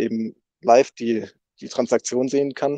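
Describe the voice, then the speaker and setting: A man's medium-pitched, dark, mellow voice with fairly even intonation, dry with no echo, over a quiet background. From northern Germany, near Rostock. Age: 20s. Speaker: software developer at a crypto foundation. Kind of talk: casual interview. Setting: online voice chat. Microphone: video call.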